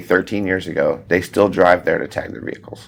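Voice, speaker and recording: A man speaks with a Texan accent. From Texas, Alvin near Houston. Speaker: farrier and horseshoeing instructor. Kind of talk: podcast interview. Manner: fast.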